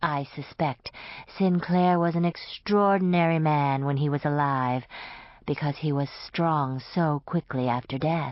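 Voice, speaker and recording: The speaker uses a put-on character voice with a middle pitch. The pace is moderate. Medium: read story. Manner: calm, polite, formal.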